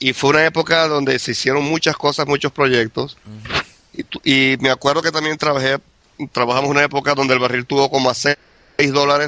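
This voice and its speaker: A man's fairly high, bright, sharp voice, monotone and flat, at a fairly quick pace, dry and close with no echo. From Venezuela, Maracaibo. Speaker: immigrant oil industry worker. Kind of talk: casual interview.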